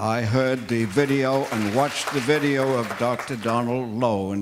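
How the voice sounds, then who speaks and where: A man at a fairly slow pace with fairly even intonation, noticeable background noise and audible room echo. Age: 80s+. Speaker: retired gerontologist, audience member. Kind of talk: public comment at a meeting.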